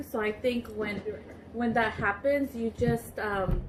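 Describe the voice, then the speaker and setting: Over noticeable background noise, a woman speaks fairly slowly. Her fairly high voice keeps a fairly even intonation. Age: 20s. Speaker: YouTuber. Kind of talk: casual chat.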